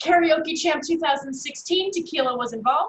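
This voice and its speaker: Lively in her intonation, a woman with an American accent talks at a fairly quick pace. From New Jersey, North Jersey. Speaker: business speaker, networking presenter. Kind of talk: webinar presentation. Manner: fast; casual, animated.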